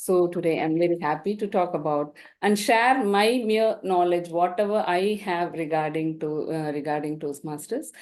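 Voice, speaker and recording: Woman with a Tamil accent, fairly low in pitch, moderate in pace, with hardly any pauses against a quiet background. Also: ordinary pitch variation. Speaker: dental professor and guest speaker. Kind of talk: invited talk.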